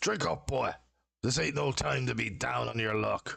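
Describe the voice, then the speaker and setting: A man does a put-on character voice, raspy and fairly low-pitched. He speaks at a moderate pace. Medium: actual play. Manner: gruff, folksy.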